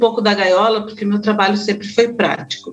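A woman's normal speaking voice, fairly high, with fairly even intonation. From southern Brazil, Florianópolis (Santa Catarina). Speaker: grief therapist. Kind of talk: podcast interview.

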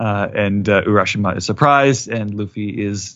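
A man with an unremarkable speaking voice delivers his words at a moderate pace. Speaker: anime news writer and anime recap host. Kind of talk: casual chat.

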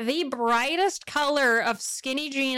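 In a raised, projected voice, a woman speaks at a high pitch with an animated tone and ordinary pitch variation. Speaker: podcast co-host. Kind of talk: casual chat. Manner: animated, laughing often. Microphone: poor audio, broken software.

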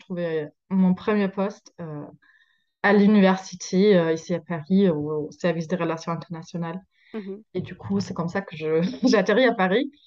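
A woman speaks at a moderate pace, her medium pitch varying in an ordinary way. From Germany. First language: German (speaking French). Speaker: social media creator. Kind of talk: interview. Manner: halting.

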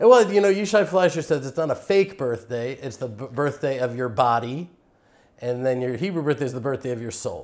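A man with an American accent and a plain, everyday voice at a fairly high pitch, fairly quick pace, lively intonation and big swings in loudness. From Texas (Houston). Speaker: farmer and Israel advocate. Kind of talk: interview. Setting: on location at a farm.

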